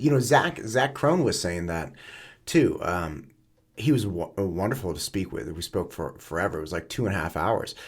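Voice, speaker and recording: Somewhat breathy, a man talks at a moderate pace and a fairly low pitch. His pitch swings very widely. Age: 40s. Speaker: podcast host. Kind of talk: casual chat. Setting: studio.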